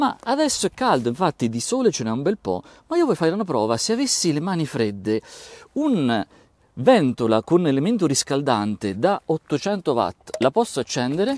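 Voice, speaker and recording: Pitched fairly high, a man speaks at a moderate pace with very wide pitch swings. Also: dry, close sound with no echo. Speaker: tech YouTuber, audio reviewer. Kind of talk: product review video. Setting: outdoors. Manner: animated.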